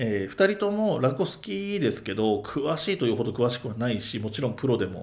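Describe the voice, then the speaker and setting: Delivered at a fairly quick pace with hardly any pauses, the speech swings very widely in pitch. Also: man, medium pitch for a man. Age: 40s. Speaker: podcaster and amateur rakugo performer. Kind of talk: casual chat.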